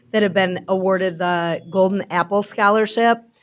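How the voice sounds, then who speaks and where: A loud woman's voice in a very clean recording with a silent background. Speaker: school program coordinator. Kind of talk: formal introduction at a board meeting. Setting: school board meeting. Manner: projecting loudly.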